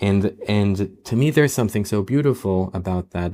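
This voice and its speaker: On a very clean recording with a silent background, a man with an Israeli accent speaks at a fairly low pitch with ordinary pitch variation. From Israel, Tel Aviv. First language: Hebrew. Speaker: novelist and film director. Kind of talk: interview conversation. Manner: halting, many repetitions and fillers.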